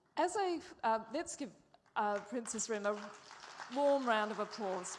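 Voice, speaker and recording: A woman speaks fairly slowly in a fairly high voice with lively intonation. The room echo is audible. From Australia. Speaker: moderator and journalist. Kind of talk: interview on stage.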